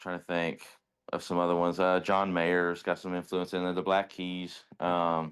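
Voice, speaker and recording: A man with a Kentucky accent speaks at a very deep, low pitch in a monotone, flat intonation, at a moderate pace. The recording is very clean with a silent background. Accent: Kentucky country. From Eastern Kentucky, US. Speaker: musician in a band. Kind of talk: casual interview.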